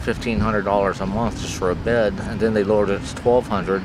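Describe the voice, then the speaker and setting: A man with an American accent talks at a very fast pace in a fairly low voice, his intonation fairly even, over noticeable background noise. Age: 50s. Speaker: homeless person being interviewed. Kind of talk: interview answer. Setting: outdoors in a park.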